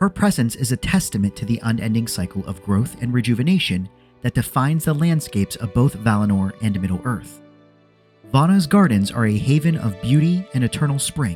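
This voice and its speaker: Soft-spoken yet given to very wide pitch swings, a man talks at a fairly quick pace with music in the background. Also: medium pitch for a man. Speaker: lore video narrator. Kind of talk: educational lore commentary. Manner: soft-spoken, light-hearted.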